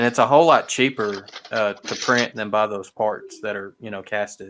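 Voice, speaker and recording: A man with a Southern US accent, fairly low in pitch, at a moderate pace, fairly even in intonation, with big swings in loudness. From Arkansas, US South. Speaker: model train hobbyist host. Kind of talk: casual livestream chat. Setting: live video stream.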